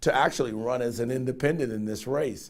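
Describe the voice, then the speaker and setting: Here a man with an American accent speaks at a medium pitch. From Cincinnati, Ohio. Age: 60s. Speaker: political candidate. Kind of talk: interview. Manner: hesitant fillers.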